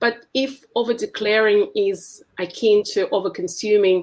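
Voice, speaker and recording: A woman in a Russian accent, medium in pitch. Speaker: essayist. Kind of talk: reading aloud.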